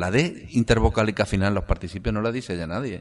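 This man's voice sits fairly low. The background is quiet. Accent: Andalusian. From Andalusia, Córdoba province (Priego de Córdoba area). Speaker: writer and philologist. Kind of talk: interview.

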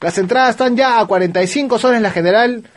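A man speaks at an extremely high pitch with ordinary pitch variation over noticeable background noise. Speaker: wrestling podcast host. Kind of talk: casual chat. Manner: animated.

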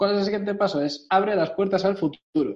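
This is a man speaking at a moderate pace. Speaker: podcast co-host. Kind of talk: casual chat.

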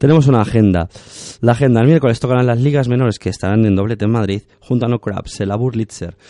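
A man rattles along at a very fast pace in a dark, mellow tone, medium in pitch with ordinary variation, against a quiet background. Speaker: radio host. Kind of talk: radio show with legal commentary and interview.

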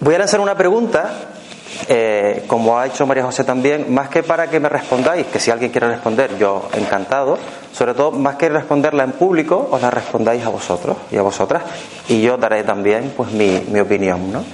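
A man with a Canarian accent at medium pitch, lively intonation, a moderate pace and very even loudness, amid noticeable background noise. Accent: Canarian, seseo. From Canary Islands. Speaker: workshop speaker on fears and neuroscience. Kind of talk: talk to a live audience.

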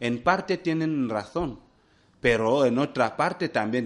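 The man's intonation is lively while his pace stays fairly slow. The background is quiet. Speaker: hospital director. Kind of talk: radio interview. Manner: halting.

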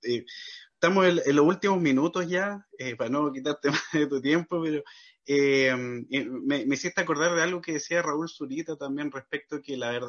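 The man's voice has a fairly high pitch and a moderate tempo. Ordinary variation runs through his pitch. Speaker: podcast host. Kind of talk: interview conversation. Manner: halting.

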